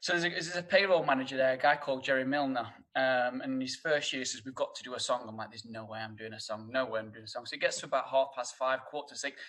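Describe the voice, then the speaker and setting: A man with a strong northern English accent, talking at a very fast pace, his loudness swinging widely. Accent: thick northern English. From northern England, Sheffield. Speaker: hotel HR director. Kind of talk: casual chat. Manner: halting, many fillers and repeats.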